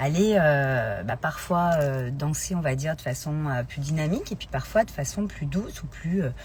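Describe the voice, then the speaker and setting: A woman with a very deep, low pitch and a somewhat breathy voice speaks at a moderate pace with lively intonation and hardly any pauses. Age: 40s. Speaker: life coach. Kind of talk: live stream talk. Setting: Instagram live. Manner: hesitant, many fillers.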